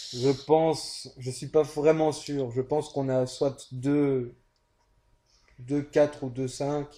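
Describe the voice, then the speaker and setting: A man with a Belgian accent speaks at a very slow pace with long, frequent pauses, his fairly high pitch flat and monotone, his tone dark and mellow, in a very clean recording with a silent background. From Belgium. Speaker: co-commentator, casual player. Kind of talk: game commentary chat.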